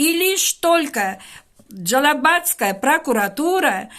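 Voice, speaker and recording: A woman's bright, sharp tone with very wide pitch swings. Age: 70s. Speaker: teacher making a public appeal. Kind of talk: public video appeal to an official. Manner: formal; earnest, pleading.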